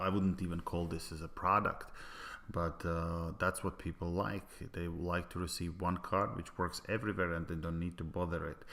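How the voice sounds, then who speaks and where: Speaking with a Latvian accent, a man uses a very deep, low pitch and a bright, sharp tone in a monotone, flat intonation. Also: moderate pace. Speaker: business presenter. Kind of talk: sales pitch. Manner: halting, many filler sounds.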